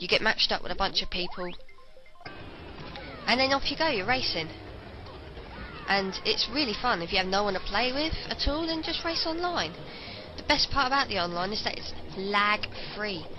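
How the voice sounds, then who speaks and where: A woman with a British accent speaks at a fairly high pitch, with very wide pitch swings and long, frequent pauses. Music plays in the background, and room echo is audible. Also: moderate pace. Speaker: video game reviewer. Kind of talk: commentary over gameplay. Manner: occasional stutter.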